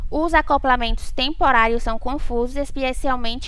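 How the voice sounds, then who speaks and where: Her pitch is high and her intonation fairly even. The woman talks at a moderate pace. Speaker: programming tutor / tech YouTuber. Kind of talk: tutorial.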